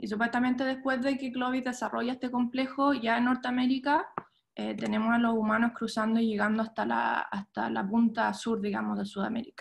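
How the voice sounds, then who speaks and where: A woman speaks at a fairly quick pace with a fairly high pitch and fairly even intonation. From Chile, moved to the US at 13. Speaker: archaeologist. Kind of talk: lecture. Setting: video call. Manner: halting, many fillers.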